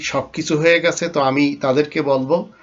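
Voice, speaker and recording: The man has an ordinary speaking voice, fairly high in pitch, with fairly even intonation. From Bangladesh. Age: 50s. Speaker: Islamic preacher. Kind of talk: religious lecture.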